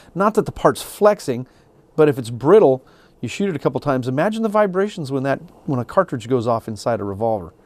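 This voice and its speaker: A man's fairly high voice racing along at a very fast pace, pitch swinging very widely, in a very clean, dry, close recording with no echo and a silent background. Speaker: gunsmith instructor. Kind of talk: tutorial. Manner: casual.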